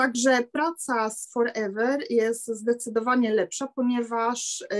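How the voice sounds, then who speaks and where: The background is quiet. A woman speaks at a high pitch. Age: 50s. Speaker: seamstress; sales distributor sharing experience. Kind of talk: testimony. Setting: video call. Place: home room. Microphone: webcam.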